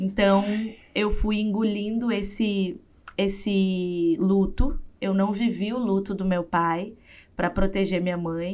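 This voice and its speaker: A woman talks at a very slow pace. Her pitch is medium and her intonation fairly even. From southern Brazil, interior of Rio Grande do Sul. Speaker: psychologist and writer. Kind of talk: interview testimony.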